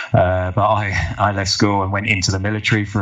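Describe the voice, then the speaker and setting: Noticeable background noise sits behind a man speaking with an English accent in a very deep, low, monotone, flat voice. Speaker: physiotherapist, former soldier. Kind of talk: podcast interview.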